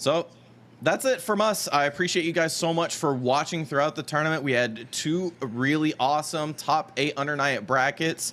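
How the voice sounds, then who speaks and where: Loud and bright with a sharp tone, a man speaks at a fairly high pitch and a moderate pace with ordinary pitch variation, in a very clean recording with a silent background. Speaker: esports commentator. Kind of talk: live commentary sign-off. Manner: animated.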